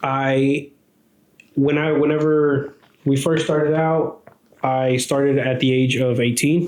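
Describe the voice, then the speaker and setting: With an American accent, a man speaks at a moderate pace in a medium pitch, his intonation monotone and flat and his loudness very even. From Texas. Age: 20s. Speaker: podcast co-host, property services business owner. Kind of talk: casual chat.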